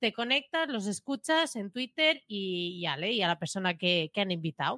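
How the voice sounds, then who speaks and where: At a moderate pace, a woman talks in a bright, sharp tone with very wide pitch swings, on a very clean recording with a silent background and a dry, close sound with no echo. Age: 20s. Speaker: podcast co-host, marketing automation specialist. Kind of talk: casual chat.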